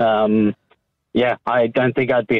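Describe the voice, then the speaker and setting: Fairly slow male speech with monotone, flat intonation. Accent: English. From England. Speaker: former witness in protection program. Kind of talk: radio phone interview. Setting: phone call. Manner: halting.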